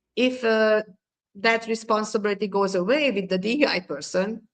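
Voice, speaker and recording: With a Hungarian accent, a woman speaks at a moderate pace in a fairly high pitch with ordinary variation, over a quiet background. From Hungary. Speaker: diversity and inclusion expert. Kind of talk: panel discussion. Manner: halting.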